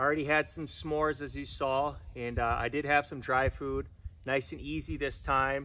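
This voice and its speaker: A man's voice with a bright, sharp tone. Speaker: camping vlogger. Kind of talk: casual vlog chat. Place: forest.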